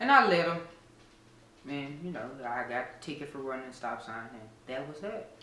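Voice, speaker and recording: Over noticeable background noise and audible room echo, the speech runs at a moderate pace with long, frequent pauses, big swings in loudness and ordinary pitch variation. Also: man, fairly high pitch for a man. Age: 30s. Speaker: interviewee. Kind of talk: casual interview.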